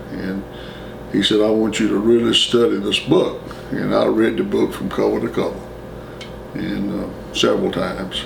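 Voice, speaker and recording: A man at a moderate pace with long, frequent pauses, audible room echo and noticeable background noise. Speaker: former student interviewee. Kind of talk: oral history interview.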